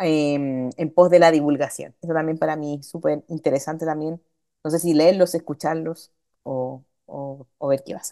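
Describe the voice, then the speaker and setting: Woman's very deep, low voice, dark and mellow in tone, with monotone, flat intonation, big swings in loudness and a quiet background. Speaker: lecturer; instructor. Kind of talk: lecture. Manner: fast. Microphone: video call.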